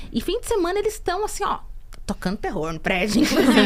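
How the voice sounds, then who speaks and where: The voice makes very wide pitch swings over noticeable background noise. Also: woman. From interior of Brazil. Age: 30s. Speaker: podcast co-host. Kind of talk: casual podcast conversation.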